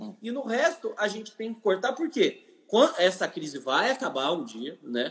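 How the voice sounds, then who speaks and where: A man's high-pitched voice moves through very wide pitch swings and big swings in loudness. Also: fairly slow pace. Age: 20s. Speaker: economist and urban planning specialist. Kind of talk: interview. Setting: Instagram live video call.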